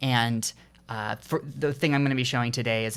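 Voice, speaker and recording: Loud and bright with a sharp tone, a man speaks at a fairly quick pace and medium pitch with fairly even intonation, captured on a very clean recording with a silent background. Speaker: indie game developer. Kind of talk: casual vlog talk. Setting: home recording with headphones on. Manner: halting, many fillers.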